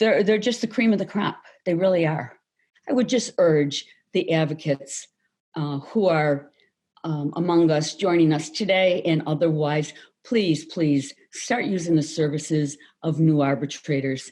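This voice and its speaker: With an American accent, a woman speaks at a moderate pace in a very deep, low pitch and a dark, mellow tone. Her pitch variation is ordinary, and the background is quiet. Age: 60s. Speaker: labor arbitrator and award recipient. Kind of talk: award acceptance speech. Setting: virtual event. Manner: hesitant, with repeated fillers.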